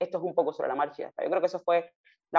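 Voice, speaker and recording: A woman with fairly low pitch talks at a very fast pace. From Cuba, Havana. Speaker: consultant and foundation director. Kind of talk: interview. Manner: animated.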